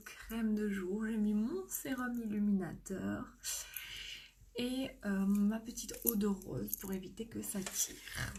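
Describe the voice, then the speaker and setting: A soft-spoken woman with ordinary pitch variation. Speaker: makeup seller and live streamer. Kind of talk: live makeup tutorial. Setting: live stream at home.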